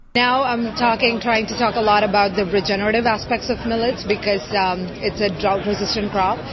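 Over crowd noise and audible room echo, a woman talks with hardly any pauses. Her intonation is fairly even. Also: fairly high pitch for a woman, fairly quick pace. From India. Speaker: food startup founder and CEO. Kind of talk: interview. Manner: many filler hesitations (uh, um).

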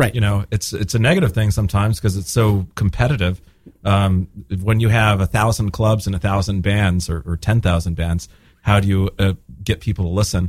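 A man's fairly low, somewhat breathy voice at a fairly quick pace, with fairly even intonation. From Spain. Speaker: singer-songwriter and bandleader. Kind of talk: casual interview. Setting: radio studio.

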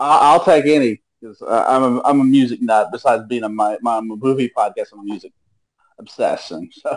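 With an ordinary speaking voice, a man talks with ordinary pitch variation and big swings in loudness. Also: medium pitch for a man, moderate pace. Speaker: first-time show participant. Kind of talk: casual chat. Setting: video call. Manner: rambling.

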